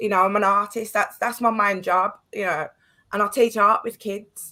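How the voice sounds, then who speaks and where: A woman with an English accent speaks at a medium pitch in a bright, sharp tone and a flat monotone, on a very clean recording with a silent background. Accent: English accent noted by host. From Birmingham, England. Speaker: artist and guest. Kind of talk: heated discussion.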